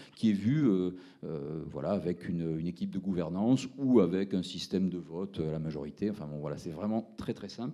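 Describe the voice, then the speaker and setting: A man speaks with a Toulouse accent at a fairly low pitch. His tone is dark and mellow, with lively intonation. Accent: southern French (Toulouse). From Toulouse, southern France. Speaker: startup founder presenting. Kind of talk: pitch presentation at a round table. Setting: round table event with audience. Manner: hesitant, many fillers.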